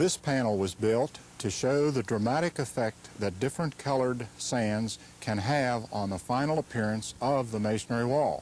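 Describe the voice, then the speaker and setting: A man's medium-pitched voice with ordinary pitch variation. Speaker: mason demonstrating techniques. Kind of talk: instructional demonstration. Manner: slow, deliberate.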